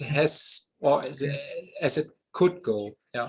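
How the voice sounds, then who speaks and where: With a German accent, a man speaks at a very slow pace. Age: 50s. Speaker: model glider pilot and designer. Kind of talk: interview. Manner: halting.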